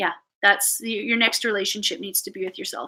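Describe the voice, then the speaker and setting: With a Canadian accent, a woman speaks at a medium pitch in a bright, sharp tone with fairly even intonation. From Canada. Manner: casual, chatty, uses "eh".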